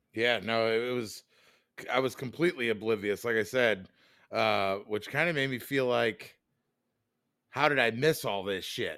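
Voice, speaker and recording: A man with a bright, sharp tone and ordinary pitch variation pauses long and often on a very clean recording with a silent background. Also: medium pitch for a man, moderate pace. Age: 40s. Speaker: podcast co-host. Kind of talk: casual chat.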